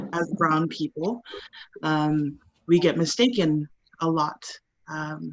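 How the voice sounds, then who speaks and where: Very slowly and with long, frequent pauses, a woman with a Hawaii accent speaks at a very deep, low pitch. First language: Hawaiian. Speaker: actor. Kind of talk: panel discussion. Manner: halting.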